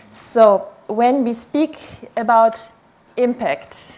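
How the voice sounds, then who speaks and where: With background noise easy to hear, the woman's pitch moves up and down in a normal way. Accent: non-native. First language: not English. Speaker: academic researcher. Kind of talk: conference talk. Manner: slow.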